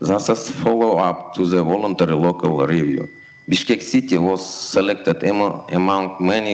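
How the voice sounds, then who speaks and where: Noticeable background noise sits behind a man with a very deep, low pitch. He talks at a moderate pace with fairly even intonation. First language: not English. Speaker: city official. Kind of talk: reading a prepared speech.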